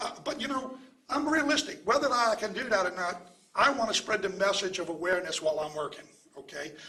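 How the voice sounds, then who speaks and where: A man's raised, projected voice swings very widely in pitch at a fairly quick pace. Audible room echo and noticeable background noise surround it. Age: 70s. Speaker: pharmacist and anti-opioid advocate. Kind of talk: press conference speech. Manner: repetitive filler 'okay', some stammering.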